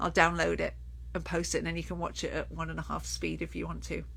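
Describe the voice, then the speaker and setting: A woman with vocal fry talks at a very fast pace amid audible room echo. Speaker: children's sleep consultant. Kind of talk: live Q&A. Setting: Facebook live stream.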